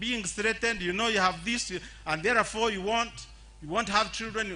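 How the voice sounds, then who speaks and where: A man's raised, projected voice at a high pitch. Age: 70s. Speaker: HIV activist living with HIV. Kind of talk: public speech. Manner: halting, repeats words.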